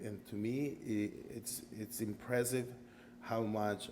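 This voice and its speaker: Audible room echo surrounds a man speaking fairly slowly at medium pitch with fairly even intonation. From Costa Rica. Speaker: karate student. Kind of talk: interview.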